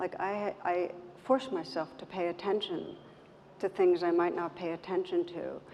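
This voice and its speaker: Soft-spoken and fairly slow, a woman talks with fairly even intonation and a dark, mellow tone. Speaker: meditation teacher. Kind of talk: panel interview. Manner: halting. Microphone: too quiet.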